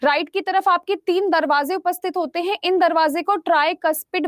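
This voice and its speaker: Speaking at a moderate pace, a woman uses an extremely high pitch with fairly even intonation. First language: English more comfortable than Hindi (speaking Hindi). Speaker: online exam-prep science teacher. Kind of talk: live online class lecture. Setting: live online class app. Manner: scolding, stern at times.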